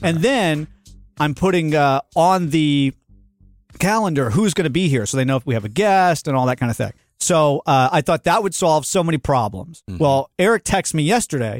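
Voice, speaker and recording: With a normal speaking voice, a man talks at a fairly quick pace and a fairly high pitch, his intonation lively and the sound dry and close with no echo. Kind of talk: casual interview chat. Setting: studio.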